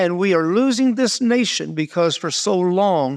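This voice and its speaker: A man's high voice with lively intonation in a dry, close sound with no echo, over a very clean recording with a silent background. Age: 70s. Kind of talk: podcast interview. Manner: passionate.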